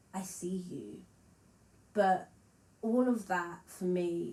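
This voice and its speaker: A woman's fairly low, somewhat breathy voice with audible room echo. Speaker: musician and vlogger. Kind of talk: casual vlog monologue.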